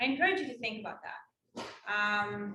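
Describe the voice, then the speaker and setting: In a room with audible echo, a woman speaks with an Israeli accent. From Israel, West Bank settlement. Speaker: Israel advocate and speaker. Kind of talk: campus talk Q&A.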